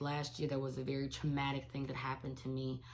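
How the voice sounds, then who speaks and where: This woman's voice sits at a very deep, low pitch. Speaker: teacher and devotional vlogger. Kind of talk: casual devotional vlog. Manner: animated.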